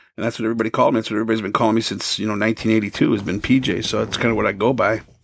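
With an American accent, a man speaks very fast at a medium pitch. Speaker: radio DJ. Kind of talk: casual chat.

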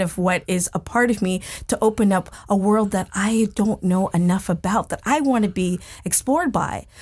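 A woman speaks in an American accent at medium pitch and a moderate pace, somewhat breathy, with ordinary pitch variation. The recording is very clean, with a silent background. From United States. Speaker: chef. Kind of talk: interview. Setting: studio.

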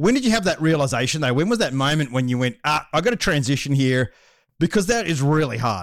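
A man with an Australian accent speaks very fast at a fairly high pitch, with very wide pitch swings and an energetic tone. His loudness is very even, and the recording is very clean with a silent background. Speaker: podcast host. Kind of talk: casual interview.

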